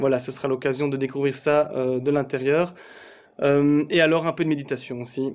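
A man speaking at a moderate pace in a monotone, flat way. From Belgium. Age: 30s. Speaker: sports federation communications officer. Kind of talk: video announcement. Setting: office. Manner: hesitant, many fillers. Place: home room. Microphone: phone near.

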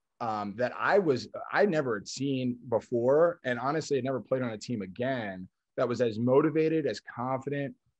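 A man's voice with ordinary pitch variation and a moderate pace against a quiet background. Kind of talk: interview answer. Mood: upbeat, nostalgic. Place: kitchen. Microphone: video call.

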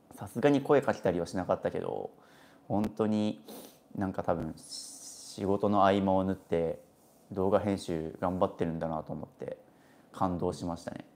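A man speaks at a moderate pace with a fairly low pitch. His pitch varies in an ordinary way. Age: 20s. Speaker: minimalist YouTuber. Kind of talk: casual live stream talk. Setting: hotel room in Okinawa. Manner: animated. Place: home room. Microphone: phone near.

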